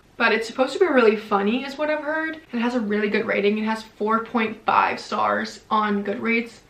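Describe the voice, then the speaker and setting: A woman with a fairly high pitch speaks at a moderate pace in an animated tone, with hardly any pauses, ordinary pitch variation and noticeable background noise. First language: not English. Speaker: book youtuber. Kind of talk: casual vlog talk to camera.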